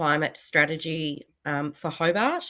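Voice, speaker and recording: With an Australian accent, a woman speaks in a bright, sharp tone against a quiet background. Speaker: city council executive. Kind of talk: webinar presentation.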